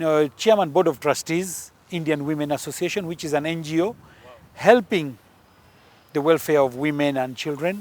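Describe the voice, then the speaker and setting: A man with a Punjabi accent, fairly high in pitch, at a moderate pace with ordinary pitch variation. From Uganda, grew up in army barracks. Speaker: politician. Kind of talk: interview.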